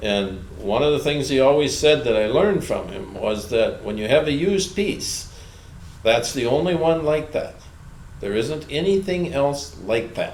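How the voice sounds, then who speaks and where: Speaking at a fairly slow pace, a man uses a plain, everyday voice with a fairly high pitch and lively intonation. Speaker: retired farm equipment dealer. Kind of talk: interview answer.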